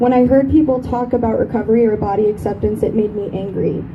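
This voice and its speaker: With audible room echo and noticeable background noise, a woman with a fairly high pitch speaks at a fairly quick pace, shaky, with fairly even intonation. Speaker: eating disorder survivor speaker. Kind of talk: speech.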